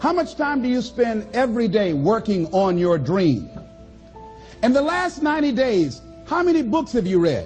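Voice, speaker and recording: With music in the background, a man with an American accent speaks at a high pitch and moderate pace, his pitch swinging very widely. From Miami, Florida. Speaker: motivational speaker. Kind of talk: motivational speech. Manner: high energy.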